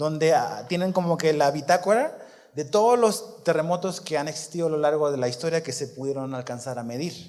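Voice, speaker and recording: Fairly quick speech with ordinary pitch variation, audible room echo and noticeable background noise. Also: man, fairly high pitch for a man. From Chile. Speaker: pastor. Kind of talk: sermon.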